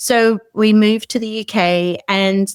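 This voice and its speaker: A woman with an Australian accent and fairly even intonation, dry and close with no echo, on a very clean recording with a silent background. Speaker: short-term rental host and founder. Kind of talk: interview. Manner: casual, hesitant with fillers.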